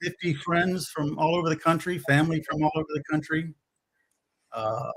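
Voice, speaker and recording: A man speaks with a Louisiana accent at a moderate pace. His pitch sits fairly high, and his intonation stays fairly even. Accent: US Southern (Louisiana). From Louisiana, Baton Rouge. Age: 60s. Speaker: DIY builder, former contractor. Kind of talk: live stream chat.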